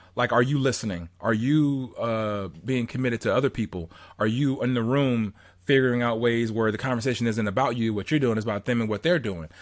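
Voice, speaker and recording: A man with an ordinary speaking voice and an American accent, medium in pitch with ordinary pitch variation, at a fairly quick pace in a very clean recording with a silent background. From Southern California. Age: 30s. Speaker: motivational podcast host. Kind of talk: casual interview chat.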